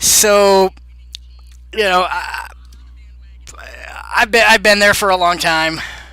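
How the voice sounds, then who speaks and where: A man with a Southern accent talks at a high pitch for a man. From Boston area, Massachusetts. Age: 30s. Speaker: game modder streamer. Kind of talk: casual live stream Q&A. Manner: casual, filler-heavy.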